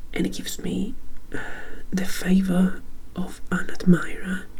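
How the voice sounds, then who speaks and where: A whispering man over noticeable background noise. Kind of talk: ASMR tabletop game tutorial. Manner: whispered.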